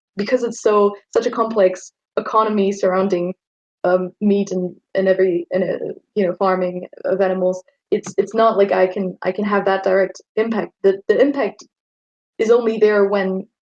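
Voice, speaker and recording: The voice has a German accent and a monotone, flat intonation. The sound is dry and close, with no echo. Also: woman, medium pitch for a woman, moderate pace. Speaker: vegetarian debate guest. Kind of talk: friendly debate. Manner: halting, repeats words.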